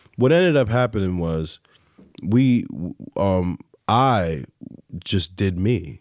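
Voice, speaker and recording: A man with a fairly low pitch speaks at a very slow pace. His intonation is lively, broken by long, frequent pauses. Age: 30s. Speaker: music producer and artist. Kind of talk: casual interview chat. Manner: animated.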